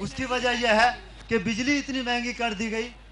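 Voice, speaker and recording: With noticeable background noise, a man speaks at an extremely high pitch in a monotone, flat intonation. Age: 60s. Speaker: artisan. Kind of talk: public question to politician.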